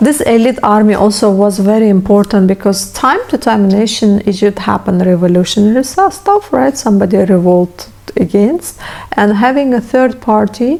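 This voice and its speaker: Against noticeable background noise, a woman with a non-native accent talks with ordinary pitch variation and very even loudness. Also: fairly high pitch for a woman, moderate pace. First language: not English. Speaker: history youtuber. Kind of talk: educational monologue. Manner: halting.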